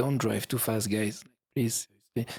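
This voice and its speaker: A man at a medium pitch with a French accent, speaking at a fairly slow pace. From France. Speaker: YouTube travel creator. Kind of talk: podcast interview. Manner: halting.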